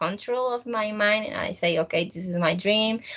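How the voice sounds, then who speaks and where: Her voice is medium in pitch, bright and sharp in tone. The woman speaks with a Spanish accent and ordinary pitch variation. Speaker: student teacher. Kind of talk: casual chat. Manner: halting.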